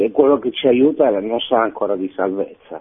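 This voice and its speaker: Speaking at a moderate pace with ordinary pitch variation, a man has an unremarkable speaking voice. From Milan. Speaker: caller. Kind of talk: phone-in comment. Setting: phone call.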